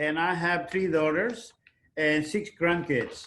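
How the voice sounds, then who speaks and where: Here a man speaks with fairly high pitch. His intonation stays fairly even. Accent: Filipino. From Philippines. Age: 70s. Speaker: retired navy veteran. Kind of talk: testimony. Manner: halting.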